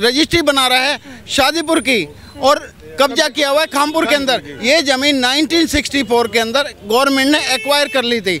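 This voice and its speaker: Over noticeable background noise, a man with an extremely high pitch uses a raised, projected voice at very even loudness. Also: ordinary pitch variation, moderate pace. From Delhi. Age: 60s. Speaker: local resident complaining. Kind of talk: street interview.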